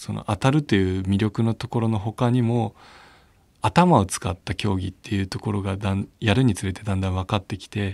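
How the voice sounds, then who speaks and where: In a very clean recording with a silent background and a dry, close sound with no echo, a man with a plain, everyday voice talks at a fairly quick pace and fairly low pitch, with ordinary pitch variation. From Japan, Chiba (Abiko). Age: 30s. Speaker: wheelchair rugby player. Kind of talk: interview testimony.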